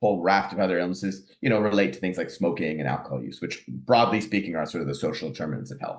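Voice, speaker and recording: A man's very deep, low voice with vocal fry and a Canadian accent, very fast with hardly any pauses and lively intonation. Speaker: family physician and professor. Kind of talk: lecture. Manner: hesitant, many fillers.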